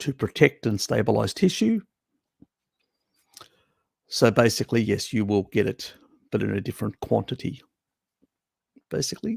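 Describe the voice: Using a put-on character voice, a man sounds croaky and raspy at a medium pitch. He moves at a moderate pace with long, frequent pauses.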